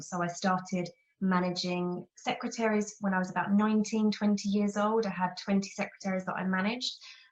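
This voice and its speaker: Speaking at a medium pitch, a woman with a London accent sounds somewhat breathy. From England, near London. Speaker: office management consultant. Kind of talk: interview.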